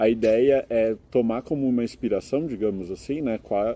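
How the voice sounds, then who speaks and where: Medium pitch from a man with a dark, mellow tone, at a moderate pace. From Brazil, São Carlos (São Paulo state). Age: 20s. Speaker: master's student and English teacher. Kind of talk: interview. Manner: explanatory, with frequent filler hesitations.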